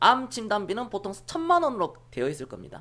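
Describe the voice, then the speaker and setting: A woman speaks in an animated tone with very wide pitch swings. The recording is very clean, with a silent background. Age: 30s. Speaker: stock market livestream host. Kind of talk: live-streamed investment talk to viewers. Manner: blunt, animated.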